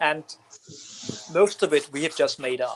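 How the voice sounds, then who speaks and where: A man with a Danish accent talks at a moderate pace. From Denmark. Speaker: comic book writer. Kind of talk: interview. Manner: halting.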